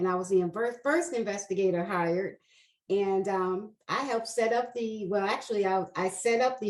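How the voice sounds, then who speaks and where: A plain, everyday voice with an American accent goes at a moderate pace with ordinary pitch variation. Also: woman. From New York, Queens. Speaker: investigations manager. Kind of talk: interview.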